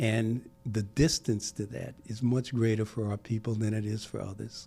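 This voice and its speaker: A man's fairly low voice with an American accent at a moderate pace, with ordinary pitch variation, over music in the background. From US Northeast, Brooklyn, New York. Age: 70s. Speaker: civic leader. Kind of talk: podcast interview. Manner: halting, with many repetitions.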